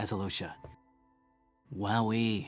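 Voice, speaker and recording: A man puts on a raspy character voice, fairly low in pitch, with audible echo and music in the background. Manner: sassy, sarcastic.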